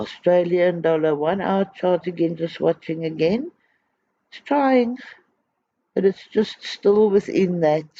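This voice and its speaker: A man mumbles at a high pitch in a dark, mellow tone, fairly slowly and with long, frequent pauses. His loudness swings widely in a dry, close sound with no echo. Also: ordinary pitch variation. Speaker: trading educator. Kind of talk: tutorial. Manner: mumbling.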